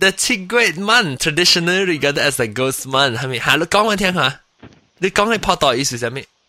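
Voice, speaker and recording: A man speaks in a high voice with very wide pitch swings. His tone is bright and sharp. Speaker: podcast host. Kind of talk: casual chat. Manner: animated.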